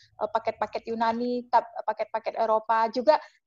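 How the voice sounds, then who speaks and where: Speaking with a strong Javanese accent, a woman with a high pitch comes through dry with no echo and a quiet background. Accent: Javanese, strong (medok). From Java, Indonesia. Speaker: travel agent and YouTuber; guest. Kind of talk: interview. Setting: video call. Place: home room. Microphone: video call.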